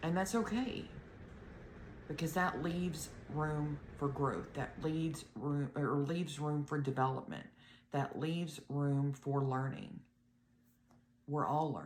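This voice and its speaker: With an audible room echo, a woman with a very deep, low pitch speaks fairly slowly, pausing long and often. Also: ordinary pitch variation. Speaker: health vlogger, blood clot survivor. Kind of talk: casual video talk to viewers.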